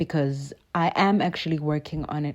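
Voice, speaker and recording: A woman with a South African accent at a very deep, low pitch, fairly even intonation and moderate pace, in a very clean recording with a silent background. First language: isiXhosa. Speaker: artist. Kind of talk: casual talk while painting.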